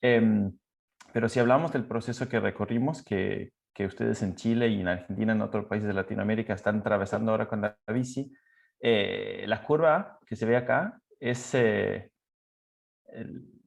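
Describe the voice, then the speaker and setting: Vocal fry runs through the speech over a quiet background. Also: man, medium pitch for a man, ordinary pitch variation, moderate pace. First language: Danish (speaking Spanish). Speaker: cycling expert. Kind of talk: presentation. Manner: halting.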